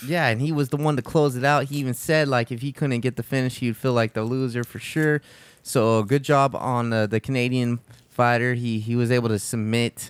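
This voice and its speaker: A man speaks at a fairly quick pace in a plain, everyday voice of medium pitch. The sound is dry and close, with no echo. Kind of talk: casual podcast talk. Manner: upbeat.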